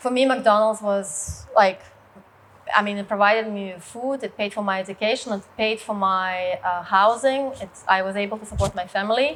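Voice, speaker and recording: A woman of medium pitch, with a Russian accent, speaks at a moderate pace with fairly even intonation but big swings in loudness. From Russia, rural village. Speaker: business leader and martial arts co-founder. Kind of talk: personal story talk. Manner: hesitant, many fillers.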